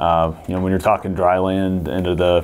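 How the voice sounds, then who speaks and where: A man speaks with a Midwestern American accent at a fairly quick pace. His pitch is very deep and low, and his intonation fairly even. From Missouri. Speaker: seed company agronomy staff. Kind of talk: casual chat. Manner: frequent fillers, hesitant. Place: meeting room. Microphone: lapel.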